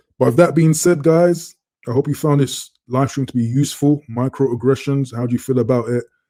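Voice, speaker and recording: This voice has a London accent and a dark, mellow tone. It moves at a moderate pace with fairly even intonation. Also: man. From London, England. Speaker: live stream host. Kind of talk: casual live stream chat. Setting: live stream. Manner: relaxed.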